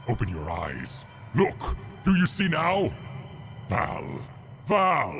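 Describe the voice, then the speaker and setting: A man talks in a put-on character voice at a medium pitch and a very slow pace, with clear background noise behind him. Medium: game stream.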